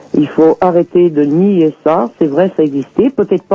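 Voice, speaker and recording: Noticeable background noise runs under the voice. The speaker goes at a fairly slow pace. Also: man. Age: 60s. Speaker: Romani community association leader. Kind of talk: interview. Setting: phone call.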